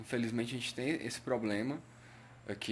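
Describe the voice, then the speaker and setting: A man speaks with a Cearense accent. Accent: Ceará (northeastern Brazilian). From Brazil, Ceará. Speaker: patient advocate / health live streamer. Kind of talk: live stream talk. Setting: Facebook live stream. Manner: hesitant, many fillers.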